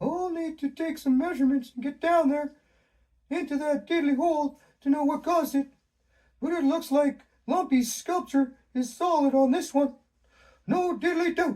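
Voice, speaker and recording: Someone uses a put-on character voice, high in pitch, at a moderate pace with long, frequent pauses. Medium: read story. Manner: quirky, says "diddly".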